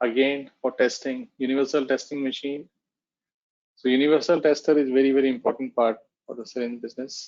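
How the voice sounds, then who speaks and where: A man has a plain, everyday voice at a medium pitch with fairly even intonation. He talks at a fairly quick pace, his loudness swinging widely. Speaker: technical presenter on pharmaceutical packaging. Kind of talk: webinar presentation. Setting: online webinar.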